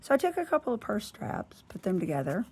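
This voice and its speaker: A woman is speaking. She talks with a Southern US accent. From US South. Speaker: planner and lifestyle vlogger. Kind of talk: casual chat. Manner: chatty.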